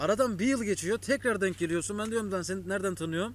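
A man's high-pitched voice at a fairly quick pace, dry with no echo. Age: 20s. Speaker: YouTuber. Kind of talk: casual chat. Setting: home, with brother. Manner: casual, laughing. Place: waterside.

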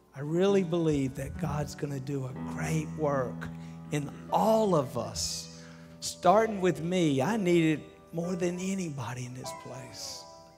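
Over clear background music, a man speaks at a fairly slow pace, his loudness swinging widely. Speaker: preacher. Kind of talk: sermon. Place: church. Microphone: headset.

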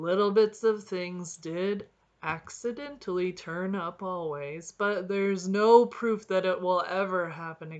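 Just an unforced reading voice

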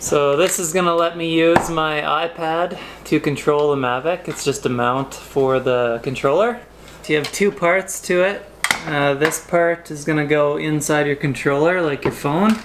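Noticeable background noise behind a man speaking with ordinary pitch variation. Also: moderate pace. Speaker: vlogger. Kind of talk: casual vlog chat, product review. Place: home room. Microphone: camera far.

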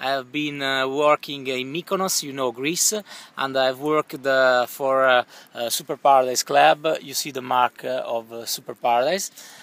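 In an Italian accent, a man of medium pitch speaks at a moderate pace with fairly even intonation, the sound dry with no echo. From northern Italy, Milan; northern Italy. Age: 30s. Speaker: YouTuber, contest applicant; YouTuber. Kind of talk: audition video. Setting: outdoors by a swimming pool. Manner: halting, many fillers. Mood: relaxed, laid-back. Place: garden. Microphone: phone near.

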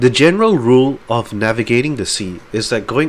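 The intonation is lively as the text comes out in an unforced reading voice.

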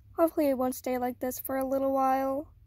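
Against a quiet background, a woman with a high pitch sounds shaky, her tone dark and mellow, with a dry sound with no echo. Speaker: beginner art channel creator. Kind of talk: casual talk to camera. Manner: shaky, hesitant. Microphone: phone near.

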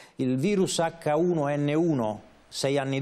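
The man's voice has a dark, mellow tone. His pitch shows ordinary variation. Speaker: journalist and radio director. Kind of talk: talk show discussion. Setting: studio. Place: studio. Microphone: lapel.

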